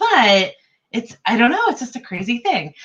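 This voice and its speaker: This woman speaks with an East Coast US accent. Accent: East Coast (per own remark). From US East Coast (New York, Ohio, Delaware). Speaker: writing group host. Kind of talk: casual chat. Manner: halting, many fillers.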